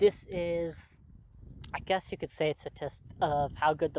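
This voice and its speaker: A woman speaks with a very deep, low pitch and vocal fry. Her pitch variation is ordinary. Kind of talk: casual talk to camera. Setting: outdoors.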